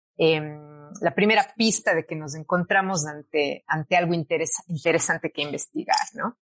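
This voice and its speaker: A woman speaks at a moderate pace with a fairly low pitch and ordinary pitch variation. The sound is dry and close, with no echo. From Cuenca, Ecuador. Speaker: academic researcher in law. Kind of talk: interview. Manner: hesitant, frequent fillers.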